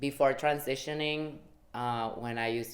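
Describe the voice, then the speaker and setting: There is audible room echo as a woman speaks. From Guatemala. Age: 20s. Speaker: activist sharing personal story. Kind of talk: testimony.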